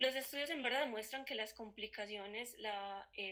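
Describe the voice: Speaking at a fairly quick pace, a woman has a bright, sharp tone.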